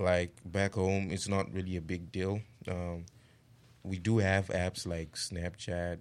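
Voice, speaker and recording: Over a silent background in a very clean recording, a man with a very deep, low voice speaks very slowly in a flat monotone. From Zimbabwe. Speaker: international college student. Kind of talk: casual chat.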